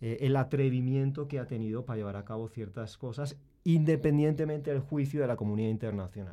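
A man with a Spanish accent speaks at a medium pitch in a dark, mellow tone. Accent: Spanish from Spain. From Spain. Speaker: university professor. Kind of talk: panel discussion. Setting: studio.

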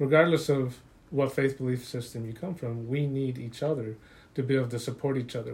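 At a moderate pace, a man with an American accent speaks at a medium pitch, somewhat breathy, with fairly even intonation. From Utah. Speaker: social worker and military veteran, survivor. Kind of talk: testimony.

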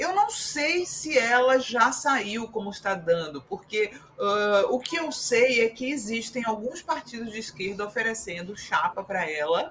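Against noticeable background noise, a woman with a fairly high pitch talks at a fairly slow pace with very wide pitch swings and hardly any pauses. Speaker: political commentator. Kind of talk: panel discussion.

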